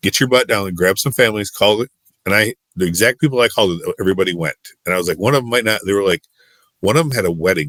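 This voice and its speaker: In a Midwestern US accent, a man with a very deep, low voice talks at a very fast pace with ordinary pitch variation, the sound dry and close with no echo. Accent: US Midwest. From Michigan. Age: 40s. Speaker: youth and sports minister. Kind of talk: casual interview storytelling. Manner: animated.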